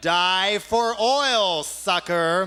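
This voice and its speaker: Over music in the background, a man with an American accent speaks in a raised, projected voice. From United States. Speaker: spoken word artist and political activist. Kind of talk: live spoken word performance. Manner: sardonic, satirical.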